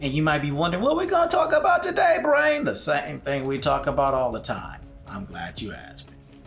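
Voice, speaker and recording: A man talks at a moderate pace. There is music behind him. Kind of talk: casual talk to camera, podcast-style intro.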